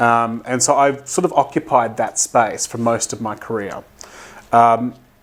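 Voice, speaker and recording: With an Australian accent, a man speaks at a medium pitch with ordinary pitch variation. He keeps a fairly slow pace. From Australia, Brisbane, Queensland. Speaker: development organisation director. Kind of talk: interview.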